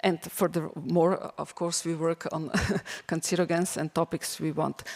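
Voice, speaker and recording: Her pace is fairly slow and her pitch fairly low. The woman speaks with a non-native accent in a monotone, flat intonation. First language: not English. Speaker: teacher presenting school project. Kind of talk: conference presentation. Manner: halting, many fillers.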